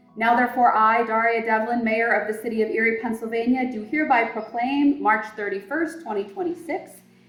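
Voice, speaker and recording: Music plays in the background under a fairly quick delivery with hardly any pauses and ordinary pitch variation. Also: woman, fairly high pitch for a woman. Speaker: mayor. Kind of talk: reading aloud a formal proclamation. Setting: community event with audience. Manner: loud.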